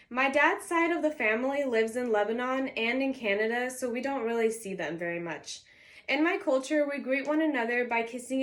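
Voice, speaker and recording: Lively intonation marks this woman's high-pitched voice as she speaks at a fairly quick pace in a Californian accent. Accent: Californian American English. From Southern California. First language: Arabic. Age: 20s. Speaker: university student. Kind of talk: class presentation speech. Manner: formal.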